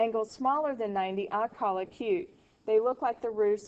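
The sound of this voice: Unforced reading voice only.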